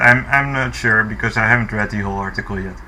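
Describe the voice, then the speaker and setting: A man with a non-native accent and ordinary pitch variation, over noticeable background noise. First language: not English. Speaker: commentary youtuber. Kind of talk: reaction commentary. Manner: halting, many fillers.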